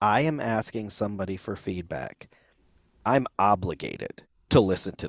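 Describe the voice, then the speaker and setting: Using an ordinary speaking voice, a man talks at a fairly slow pace with lively intonation in a very clean recording with a silent background and a dry, close sound with no echo. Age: 50s. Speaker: podcast host and musician. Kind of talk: casual chat.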